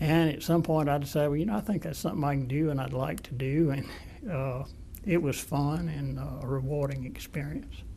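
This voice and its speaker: A man with an Alabama accent talks at a fairly quick pace, with audible room echo. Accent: Southern US (Alabama). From US South, Mobile, Alabama. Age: 70s. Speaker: retired-age lawyer, former state bar president. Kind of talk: oral history interview. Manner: halting, with fillers.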